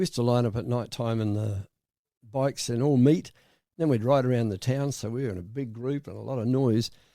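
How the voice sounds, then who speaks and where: On a very clean recording with a silent background, a man with a medium pitch and a dark, mellow tone talks at a very fast pace with ordinary pitch variation. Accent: Australian. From South Australia. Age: 80s+. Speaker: retired insurance broker. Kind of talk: interview answer.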